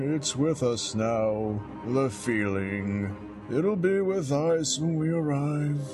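Put-on character voice from a man, fairly high in pitch, very slow, with very even loudness over loud music in the background. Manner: sighing, hopeless.

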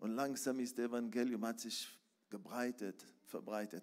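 This man speaks at a fairly slow pace, with a medium pitch and ordinary pitch variation. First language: Hebrew (speaking German). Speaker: preacher. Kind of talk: sermon. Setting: church.

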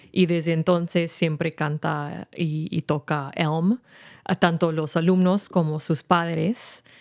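A woman speaks very slowly with an English accent, her pitch fairly low and her intonation fairly even. The recording is very clean, dry and close, with no echo and a silent background. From San Rafael, California (US). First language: English (speaking Spanish). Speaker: event organizer and music teacher. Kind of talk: radio interview.

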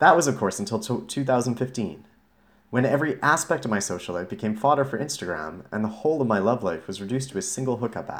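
The voice carries vocal fry and runs at a very fast pace. Its pitch swings very widely. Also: man, medium pitch for a man. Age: 30s. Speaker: blogger reading own post. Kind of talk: reading aloud. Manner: casual, conversational.

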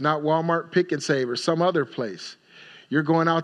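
A man speaks at a high pitch with fairly even intonation over a quiet background. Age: 40s. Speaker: pastor. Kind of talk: Sunday sermon with congregational call-and-response, teaching series. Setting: church. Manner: conversational preaching punctuated by repeated call-outs of Amen? for response; informal and exhorting, with self-corrections and repeated words.

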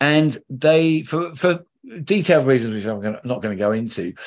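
Here a man speaks with a South London accent at a fairly quick pace. His medium-pitched voice has lively intonation. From London, England (Lewisham). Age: 50s. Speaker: ecologist. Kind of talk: interview.

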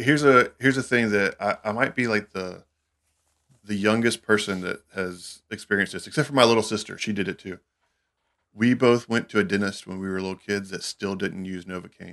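In a Southern US accent, a man speaks at a fairly quick pace in a fairly low pitch, with ordinary pitch variation and big swings in loudness against a quiet background. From US South, Alabama. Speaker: recording studio engineer. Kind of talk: casual chat.

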